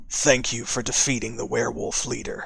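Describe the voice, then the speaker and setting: A man's raspy, put-on character voice at a medium pitch, at a moderate pace. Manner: ethereal, wistful, grateful.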